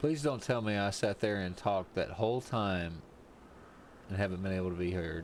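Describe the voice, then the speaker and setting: A soft-spoken man with an American accent talks at a moderate pace in a fairly low voice, his pitch varying in an ordinary way. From US South. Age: 30s. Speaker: streamer. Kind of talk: casual chat. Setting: live stream. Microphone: too quiet.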